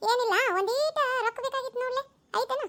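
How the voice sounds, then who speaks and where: In a cartoonish character voice, a woman speaks at a moderate pace, squeaky and extremely high-pitched, with a dry, close sound and no echo. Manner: pushy, persistent.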